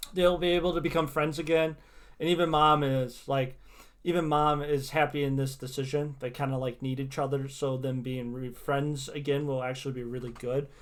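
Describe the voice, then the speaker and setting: This man has a normal speaking voice, fairly high in pitch. He keeps a moderate pace and fairly even intonation. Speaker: tarot reader streamer. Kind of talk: casual livestream chat with tarot readings. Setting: livestream.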